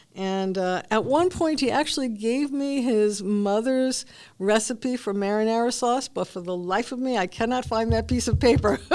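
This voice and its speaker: A woman with a Brooklyn accent talks at a moderate pace in a fairly high pitch, with hardly any pauses. Her pitch varies in an ordinary way. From New York City. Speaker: retired cancer research scientist. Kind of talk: oral history interview. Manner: hesitant, many fillers.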